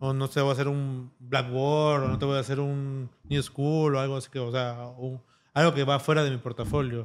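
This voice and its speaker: Monotone, flat intonation at a moderate pace against a quiet background. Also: man. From Peru. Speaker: tattoo artist; guest. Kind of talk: interview. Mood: relaxed, reflective. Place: studio. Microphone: studio mic.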